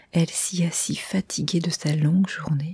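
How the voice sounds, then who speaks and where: Soft-spoken and somewhat breathy, a woman talks at a fairly slow pace in a medium pitch, her tone dark and mellow and her intonation fairly even. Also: dry, close sound with no echo. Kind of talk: ASMR story reading.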